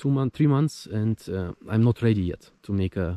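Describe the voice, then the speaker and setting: Fairly slow and fairly low in pitch, a man with a non-native accent speaks in a dark, mellow tone with ordinary pitch variation, the sound dry and close with no echo. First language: not English. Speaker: motorcycle vlogger. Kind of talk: casual vlog monologue. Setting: outdoors in the woods. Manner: halting.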